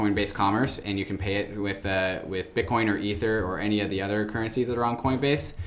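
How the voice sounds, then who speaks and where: A man's fairly low, fairly even voice, a normal speaking voice. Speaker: podcast host. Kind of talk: casual podcast interview.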